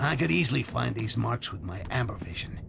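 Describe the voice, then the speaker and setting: A man in a put-on character voice, very deep and low-pitched, at a very fast pace over clear background noise. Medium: video game. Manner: sarcastic.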